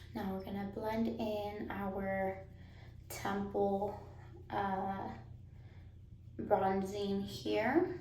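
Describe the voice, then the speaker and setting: Audible room echo surrounds a woman's voice. She speaks at a very slow pace with long, frequent pauses. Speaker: beauty vlogger. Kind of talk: makeup tutorial. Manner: lowered voice after baby wakes; casual, filler-heavy.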